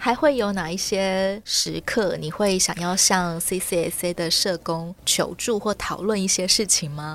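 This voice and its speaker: A woman talks at a very slow pace, with hardly any pauses. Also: medium pitch for a woman, ordinary pitch variation. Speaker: podcast host. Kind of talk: interview.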